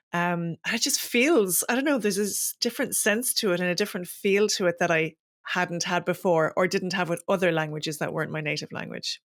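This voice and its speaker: A woman with an Irish accent talks at a fairly quick pace with hardly any pauses. Her pitch is fairly low, with ordinary variation. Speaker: podcast host. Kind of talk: podcast interview.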